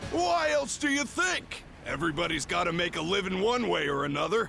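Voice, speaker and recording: Against clear background noise, a man does a put-on character voice at a high pitch. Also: fairly quick pace. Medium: video game. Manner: rough, slangy.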